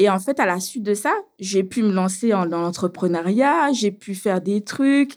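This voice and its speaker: At a very slow pace, a woman speaks at medium pitch with ordinary pitch variation. The recording is very clean, with a silent background. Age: 30s. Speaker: beautician, abuse survivor. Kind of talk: testimony. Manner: casual, with hesitations.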